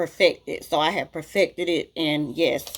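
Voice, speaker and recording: With a strong Southern US accent, a woman speaks at a fairly low pitch with fairly even intonation. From US South. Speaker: beauty vlogger. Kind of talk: casual Q&A vlog. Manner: chatty, talkative.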